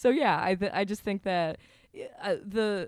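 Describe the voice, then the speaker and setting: In a very clean recording with a silent background, a woman with an American accent and an ordinary speaking voice talks at a moderate pace with lively intonation. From Vermont, US. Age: 30s. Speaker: podcaster and video creator. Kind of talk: casual chat.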